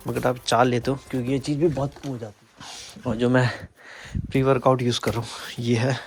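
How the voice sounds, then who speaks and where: A man at a moderate pace. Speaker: vlogger. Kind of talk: casual vlog talk. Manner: casual.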